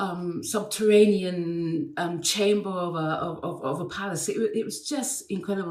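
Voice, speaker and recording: In an English accent, a woman speaks at medium pitch and a moderate pace with lively intonation. There is audible room echo. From England. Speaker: actress and dancer. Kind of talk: interview anecdote. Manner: hesitant, many fillers and repeats.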